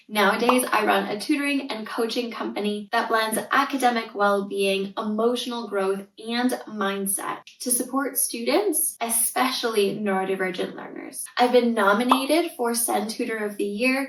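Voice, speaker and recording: A woman's fairly high voice at a moderate pace with ordinary pitch variation and hardly any pauses, over noticeable background noise. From Canada (Northern Ontario). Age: 30s. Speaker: tutor and parenting coach, podcast host. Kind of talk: podcast monologue.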